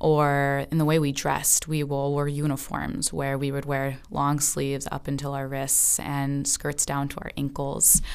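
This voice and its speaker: A woman's very deep, low voice with an American accent, monotone, flat intonation and a fairly slow pace. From Southern California. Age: 20s. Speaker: podcast moderator. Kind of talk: personal narrative.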